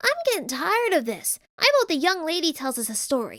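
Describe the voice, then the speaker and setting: A woman puts on a squeaky character voice at an extremely high pitch. Her pitch swings very widely at a fairly quick pace. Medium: read story.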